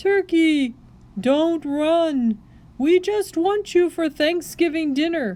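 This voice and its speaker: A woman does a put-on character voice pitched extremely high, with ordinary variation in pitch. She speaks at a very slow pace. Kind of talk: read-aloud storytelling. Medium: read story. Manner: hearty, booming.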